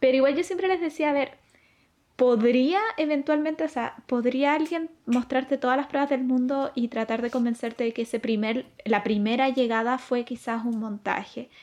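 The woman's pace stays moderate. Her voice is high-pitched. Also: ordinary pitch variation. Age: 20s. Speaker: astronomy graduate student. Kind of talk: casual chat.

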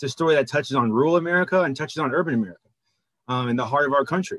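Speaking at a very fast pace, the man shows ordinary pitch variation. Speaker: podcast co-host. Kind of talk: interview.

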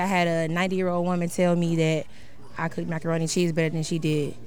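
A woman with a fairly low pitch talks at a very fast pace, and audible room echo is heard. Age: 20s. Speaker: small business owner, caterer. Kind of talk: casual chat.

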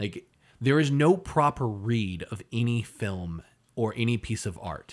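A man talks in an animated tone at a medium pitch. The recording is very clean, with a silent background. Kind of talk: casual podcast chat with a comedic, sweary rant. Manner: animated, rant-like, punchline-driven.

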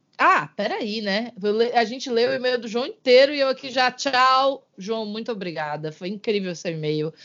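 In a plain, everyday voice, a woman speaks at a moderate pace with hardly any pauses, a fairly high pitch and lively intonation. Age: 30s. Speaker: podcast co-host. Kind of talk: casual chat.

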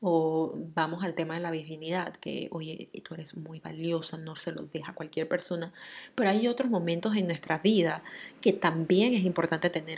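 Her loudness swings widely while a woman in a plain, everyday voice speaks at fairly low pitch and a moderate pace with fairly even intonation. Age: 30s. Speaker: podcast host. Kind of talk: solo monologue. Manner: casual, many filler words.

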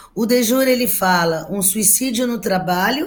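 Somewhat breathy and with lively intonation, a woman speaks at a fairly slow pace. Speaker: labor law scholar. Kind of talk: panel discussion.

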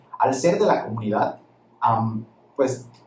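Noticeable background noise behind a man with ordinary pitch variation. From Campeche, Mexico. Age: 20s. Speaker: lawyer and crypto enthusiast. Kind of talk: interview.

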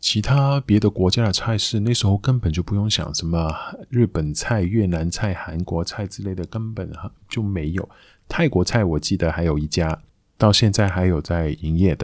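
Recorded very cleanly against a silent background, a man with a very deep, low pitch talks with ordinary pitch variation. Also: moderate pace. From Macau. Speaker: podcast host. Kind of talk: casual monologue.

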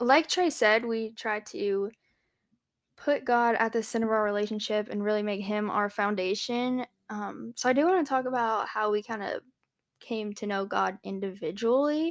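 Heard on a very clean recording with a silent background, a woman in an unremarkable speaking voice talks at a moderate pace with a fairly high pitch and ordinary pitch variation. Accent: American. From South Carolina, Charleston area. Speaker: podcast co-host, graduate student. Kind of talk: casual chat.

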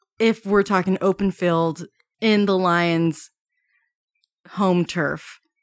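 A woman speaks at a very slow pace with long, frequent pauses and fairly even intonation, recorded very cleanly against a silent background with a dry, close sound and no echo. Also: medium pitch for a woman. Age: 20s. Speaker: podcast host. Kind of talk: casual chat.

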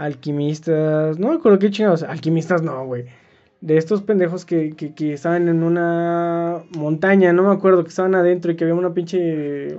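A moderate pace with a Mexican accent. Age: 20s. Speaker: podcast co-host and student. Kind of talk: casual chat.

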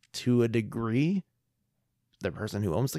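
Recorded very cleanly against a silent background, a man uses a normal speaking voice at a moderate pace, medium pitch and ordinary pitch variation. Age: 30s. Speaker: podcast co-host. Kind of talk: casual chat.

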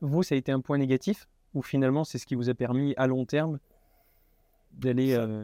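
Set against a silent background in a very clean recording, a dark, mellow tone moves at a moderate pace with fairly even intonation and long, frequent pauses, the sound dry and close with no echo. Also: man, medium pitch for a man. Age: 20s. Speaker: student entrepreneur podcast host. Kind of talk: interview.

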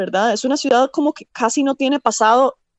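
A woman's voice sits at a high pitch with ordinary variation. She keeps a moderate pace. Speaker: environmental engineer, urban planner. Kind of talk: interview.

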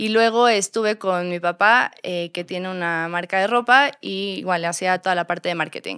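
Her bright, sharp tone sits at medium pitch as the woman talks at a moderate pace with hardly any pauses and ordinary pitch variation, the sound dry and close with no echo. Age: 30s. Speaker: store co-founder and marketing director. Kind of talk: interview.

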